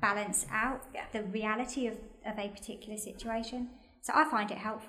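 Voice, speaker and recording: A woman's very fast, fairly high-pitched speech with a British accent, plus audible room echo. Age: 40s. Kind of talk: casual chat.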